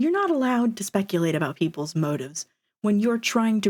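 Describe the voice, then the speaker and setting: The recording is very clean, with a silent background. Pitch swings very widely throughout. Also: woman. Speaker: streamer. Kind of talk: casual chat. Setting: live stream.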